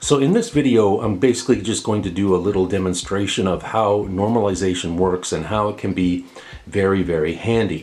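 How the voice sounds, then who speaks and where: A man with an unremarkable speaking voice talks fairly quickly at a fairly low pitch. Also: ordinary pitch variation. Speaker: tech product reviewer. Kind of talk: tutorial. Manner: casual with filler words.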